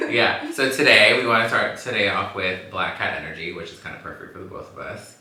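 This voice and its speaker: A man with an American accent at a fairly quick pace, hardly any pauses and big swings in loudness, against noticeable background noise. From Los Angeles. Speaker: podcast host. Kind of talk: casual chat. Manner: animated.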